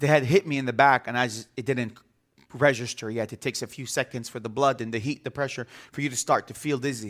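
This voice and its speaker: Talking at a very fast pace, a man with an Arabic accent uses a medium pitch and fairly even intonation, with big swings in loudness. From Bethlehem, Palestinian territories. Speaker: visiting pastor. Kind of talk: sermon. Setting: church with congregation. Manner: repetitive, stammering restarts.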